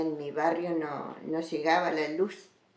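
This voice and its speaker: This woman has a fairly low pitch. She speaks at a very slow pace. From Argentina, Entre Ríos (Federación). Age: 70s. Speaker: interviewee recounting her life. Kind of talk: oral history interview.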